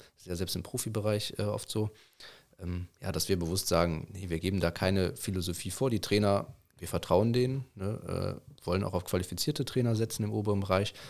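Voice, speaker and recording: Fairly low in pitch and fairly quick in pace, a man speaks in a plain, everyday voice. The recording is very clean, with a silent background. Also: ordinary pitch variation. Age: 20s. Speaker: youth football coach. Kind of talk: casual chat.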